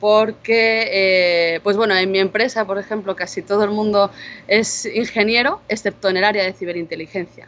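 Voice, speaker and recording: Someone speaks at a moderate pace with a Spanish accent. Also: woman. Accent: Spanish (Spain). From Spain. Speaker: cybersecurity intelligence manager, conference speaker. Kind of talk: conference talk. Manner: casual conversational with fillers.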